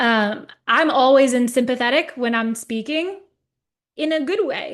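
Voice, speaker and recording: A woman with an American accent speaks at a fairly slow pace, her pitch high and its variation ordinary. The background is quiet. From New Jersey. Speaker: natural remedies educator. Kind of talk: webinar presentation. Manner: animated.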